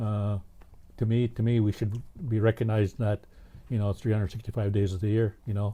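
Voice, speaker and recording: In a dark, mellow tone, a man speaks somewhat breathily at a fairly low pitch. His intonation is monotone and flat, broken by long, frequent pauses. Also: fairly quick pace. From Vancouver Island, British Columbia (First Nations community). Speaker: First Nations community member, residential school survivor. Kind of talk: interview. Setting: studio. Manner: halting.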